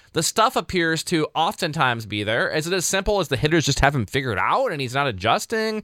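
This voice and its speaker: On a very clean recording with a silent background, a man talks at a very fast pace with hardly any pauses. His fairly high voice is bright and sharp, with vocal fry and very wide pitch swings, and the sound is dry and close with no echo. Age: 30s. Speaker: sports podcast host. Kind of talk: solo sports recap commentary.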